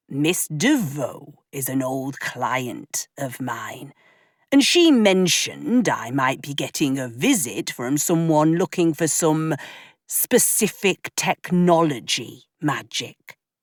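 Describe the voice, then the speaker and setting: On a very clean recording with a silent background, a put-on character voice speaks at middle pitch and a fairly slow pace. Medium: read story. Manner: affable, easygoing.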